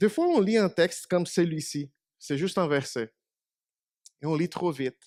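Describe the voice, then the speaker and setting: A man speaks at a moderate pace and high pitch with ordinary pitch variation and long, frequent pauses, his voice dry and close with no echo on a very clean recording with a silent background. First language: Portuguese (speaking French). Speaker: preacher. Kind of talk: sermon.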